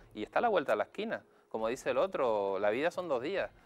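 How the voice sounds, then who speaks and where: A man talks at a fairly quick pace and medium pitch, with music in the background. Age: young. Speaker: psychologist. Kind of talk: TV interview.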